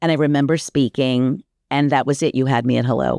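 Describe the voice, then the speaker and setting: With an American accent and vocal fry, a woman speaks at a very deep, low pitch and a moderate pace, with ordinary pitch variation, in a dry, close sound with no echo over a quiet background. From US South, Miami, Florida. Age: 60s. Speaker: life coach, former radio and TV personality. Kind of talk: casual interview conversation.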